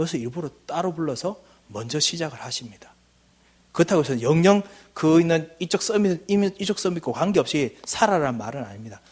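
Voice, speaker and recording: Lively in intonation, a man talks fairly quickly with a high-pitched voice. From Gyeongsang, South Korea (Daegu). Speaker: missionary, guest preacher. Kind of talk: sermon. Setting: church service.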